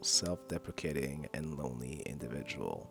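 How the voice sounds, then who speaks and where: Music plays in the background as a man speaks. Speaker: video essayist. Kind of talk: video essay narration.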